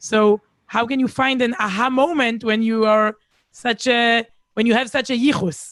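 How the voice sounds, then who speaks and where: A woman with an Israeli accent speaks at a moderate pace in a fairly high voice with fairly even intonation. Her loudness stays very even, and the sound is dry and close with no echo. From Israel, Herzliya near Tel Aviv. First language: Hebrew. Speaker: speaker. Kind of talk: casual chat. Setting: video call.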